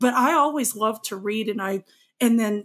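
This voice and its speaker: In a very clean recording with a silent background, a woman with an American accent uses a normal speaking voice at a moderate pace and a fairly high pitch. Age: 40s. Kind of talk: casual chat.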